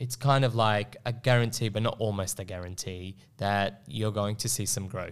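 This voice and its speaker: With an Australian accent, a man speaks at a moderate pace with hardly any pauses, using fairly low pitch and fairly even intonation, on a very clean recording with a silent background. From Melbourne, Australia (Northcote). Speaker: property investment advisor. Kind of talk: casual chat. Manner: halting, many repetitions.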